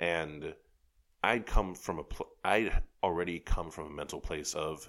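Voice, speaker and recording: In a New York accent, a man with a very deep, low pitch speaks at a moderate pace with fairly even intonation. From New York City (Rockaways, Queens). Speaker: advertising creative and writer. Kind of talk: casual chat. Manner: soft-spoken.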